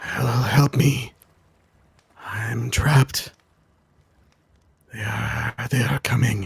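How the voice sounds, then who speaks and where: A man in a put-on character voice speaks very slowly at a medium pitch, raspy and rumbling with some hissing, and he leaves long, frequent pauses. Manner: desperate.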